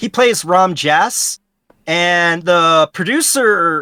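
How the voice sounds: The voice has an American accent. The recording is very clean, with a silent background.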